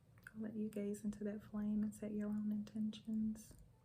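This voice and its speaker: Over music in the background, a woman speaks at a moderate pace with a fairly high pitch and monotone, flat intonation. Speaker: ASMR wellness and energy healer. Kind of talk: ASMR guided relaxation and affirmations. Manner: soft, calming.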